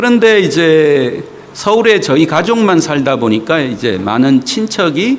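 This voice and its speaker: A man speaks fairly slowly, his pitch swinging very widely. Noticeable background noise and audible room echo surround him. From South Korea, Gyeongsang (Daegu), then Seoul. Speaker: visiting pastor. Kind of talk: sermon. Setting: church. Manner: many filler sounds (어, 예).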